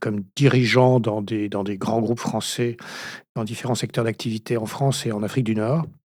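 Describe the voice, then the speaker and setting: This very clean recording has a silent background and fairly even intonation. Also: man, medium pitch for a man, moderate pace. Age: 60s. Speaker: retired business owner. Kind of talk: interview. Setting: studio. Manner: halting.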